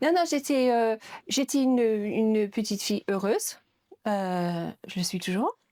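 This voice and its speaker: A woman with an English accent and fairly high pitch speaks at a fairly slow pace on a very clean recording with a silent background. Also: lively intonation. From northern England, Yorkshire near Leeds. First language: English (speaking French). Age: 50s. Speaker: museum director. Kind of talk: interview. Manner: hesitant, many fillers.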